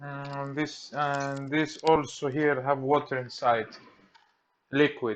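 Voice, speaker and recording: A man with a Greek accent talks at a very slow pace in a fairly high voice. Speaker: electronics repair technician. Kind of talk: tutorial. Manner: halting.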